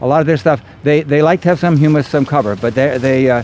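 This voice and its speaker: Background noise is clearly audible. Over it, a man speaks very fast. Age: 60s. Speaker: veganic farmer. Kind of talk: outdoor workshop Q&A. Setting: outdoors. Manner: halting.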